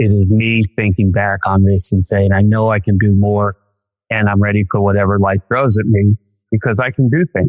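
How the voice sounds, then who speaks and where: A man's fairly low voice at a moderate pace, fairly even in intonation, a plain, everyday voice, dry and close with no echo. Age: 60s. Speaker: hiking client. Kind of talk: podcast interview.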